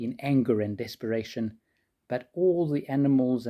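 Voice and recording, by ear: A quiet background sits beneath speech read aloud in a natural voice.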